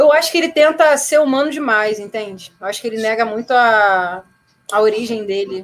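The speaker uses a normal speaking voice with lively intonation at a moderate pace. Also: woman, fairly high pitch for a woman. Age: 30s. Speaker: rock singer and producer. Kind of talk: casual chat.

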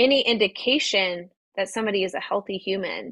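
A woman uses a normal speaking voice and keeps to a moderate pace. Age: 40s. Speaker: life coach and podcast host. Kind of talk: solo podcast monologue. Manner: casual, conversational with fillers.

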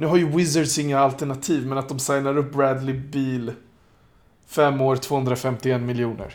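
A man of medium pitch talks fairly slowly in a monotone, flat intonation. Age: 30s. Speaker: basketball pundit. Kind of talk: casual chat.

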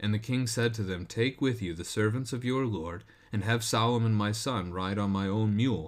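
An ordinary speaking voice runs at a moderate pace with ordinary pitch variation. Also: man. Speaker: pastor and devotional host. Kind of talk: scripture reading, then devotional commentary. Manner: measured, steady, formal reading cadence; shifts to conversational, informal tone in commentary.

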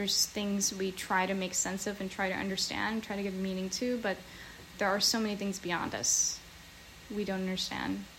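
Over noticeable background noise, a woman with an American accent speaks at a medium pitch in a monotone, flat intonation. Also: moderate pace. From New Jersey. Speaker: podcast host. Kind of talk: casual chat.

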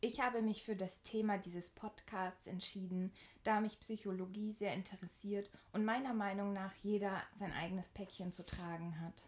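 At a moderate pace, a woman speaks in a somewhat breathy voice of medium pitch with monotone, flat intonation. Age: 20s. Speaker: podcast host. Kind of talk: scripted introduction.

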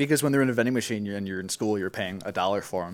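Recorded very cleanly against a silent background, a man is speaking. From US Midwest, Wisconsin (Milwaukee). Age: 20s. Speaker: recent college graduate, electronic music producer. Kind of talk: casual chat.

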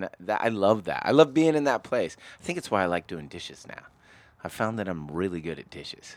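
This man's fairly low voice has vocal fry and very wide pitch swings at a fairly quick pace. The recording is very clean with a silent background. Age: 40s. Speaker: podcast co-host. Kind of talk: casual chat. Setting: studio. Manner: loud; animated.

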